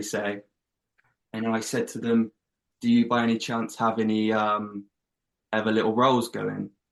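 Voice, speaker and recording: Monotone and flat, a man speaks at a moderate pace in a medium pitch. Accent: English. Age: 20s. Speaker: actor. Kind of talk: interview.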